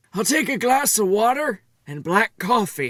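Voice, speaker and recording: A put-on character voice with a fairly high pitch, delivered at a moderate pace. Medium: read story. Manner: grumpy, complaining.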